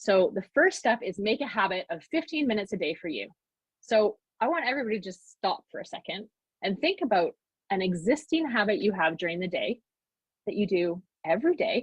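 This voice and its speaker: Somewhat breathy, a woman with a fairly high pitch talks at a fairly quick pace with very wide pitch swings. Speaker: mom coach and workshop speaker. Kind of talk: online workshop talk. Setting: live video call. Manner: fast.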